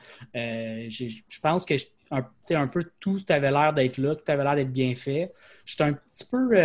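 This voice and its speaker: Here is a man with an unremarkable speaking voice. His pitch is fairly high, with ordinary variation. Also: moderate pace. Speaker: podcast co-host. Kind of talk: casual chat.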